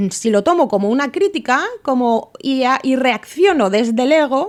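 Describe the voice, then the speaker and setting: Her voice swings through a very wide pitch range. This woman sits high in her register. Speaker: podcast host. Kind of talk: solo podcast monologue.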